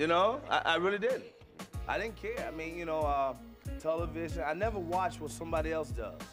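Clear music runs underneath the speech. The male speaker talks somewhat fast. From Chicago south side. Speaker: stand-up comedian. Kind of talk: interview answer. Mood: warm, amused, reflective.

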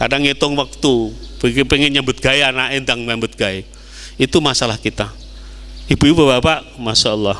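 A man with a Javanese accent talks at a fairly quick pace, his intonation fairly even. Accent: Javanese-accented Indonesian. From East Java, Indonesia. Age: 60s. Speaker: Islamic preacher; preacher. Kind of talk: sermon. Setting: mosque. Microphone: handheld.

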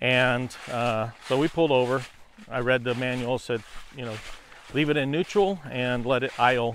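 Light background noise runs under a dry sound with no echo. A man talks at a moderate pace with fairly even intonation. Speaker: landowner vlogger. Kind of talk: casual vlog chat. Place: forest. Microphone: lapel.

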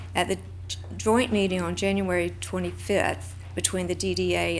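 A woman with a very deep, low pitch, fairly quick and monotone with flat intonation, with audible room echo. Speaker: public commenter, downtown board member. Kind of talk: public comment at council meeting. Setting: city commission chamber.

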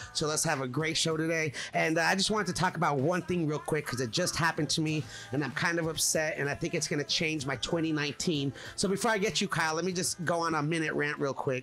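With faint music in the background, a man talks very fast at a fairly high pitch, his loudness very even throughout. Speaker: podcast host. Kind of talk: casual chat. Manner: energetic. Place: studio. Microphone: studio mic.

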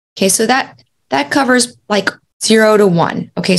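Her voice shows vocal fry as a woman talks with ordinary pitch variation. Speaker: podcast host. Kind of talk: educational talk. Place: home room.

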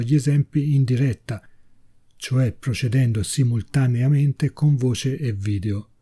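A man's medium-pitched, somewhat breathy voice with a dark, mellow tone, moderate pace and ordinary pitch variation. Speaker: software tutorial maker. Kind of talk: tutorial. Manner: read from notes.

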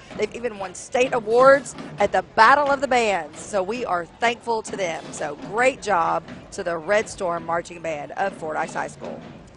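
Over clear background music, a woman talks at a moderate pace, the sound dry with no echo. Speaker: TV news anchor co-hosting parade broadcast. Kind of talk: live parade commentary, chatty. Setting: outdoors at parade, live broadcast. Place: street. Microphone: headset.

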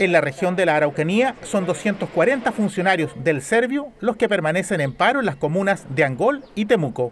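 At a moderate pace with hardly any pauses, a high-pitched man's voice moves through very wide pitch swings. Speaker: news reporter. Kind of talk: news reading. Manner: formal.

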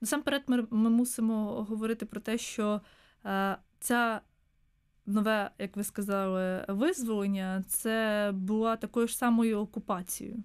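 Against a quiet background, a woman speaks at a fairly slow pace and fairly high pitch with fairly even intonation. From southern Ukraine, Mykolaiv; Ukraine. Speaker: historian, museum researcher; guest. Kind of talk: radio interview. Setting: studio. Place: studio. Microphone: studio mic.

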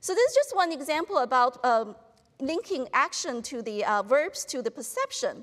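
A female speaker over quiet surroundings. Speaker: professor giving a talk. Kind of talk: lecture. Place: hall. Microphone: lapel.

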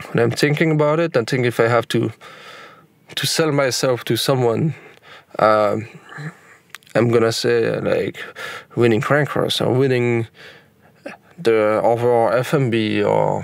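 Against noticeable background noise, a man at medium pitch talks at a fairly slow pace with long, frequent pauses, fairly even intonation and very even loudness. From Belgium. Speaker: pro mountain bike athlete. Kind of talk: interview. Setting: on location outdoors in Hawaii. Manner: halting.

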